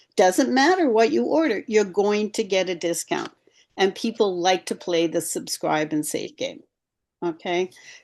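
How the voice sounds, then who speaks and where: A woman is speaking. Her pitch swings very widely. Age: 70s. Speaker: skincare and supplement sales rep. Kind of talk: team call sharing sales tips.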